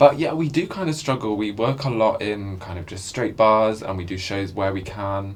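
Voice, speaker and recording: A man with a fairly low pitch talks at a moderate pace, barely pausing. His intonation is lively, and his loudness swings a lot. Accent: London. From London. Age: 20s. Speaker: drag performer. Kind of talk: documentary interview. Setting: pub.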